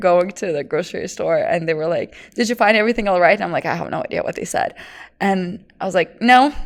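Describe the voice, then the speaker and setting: With a Lithuanian accent, the speaker moves at a fairly quick pace with ordinary pitch variation. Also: woman. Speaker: fitness trainer. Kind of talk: casual chat.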